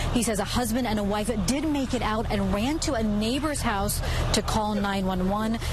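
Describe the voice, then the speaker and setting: With music playing behind her, a woman talks at a moderate pace. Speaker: TV news reporter. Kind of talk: live TV news report. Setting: outdoors on location.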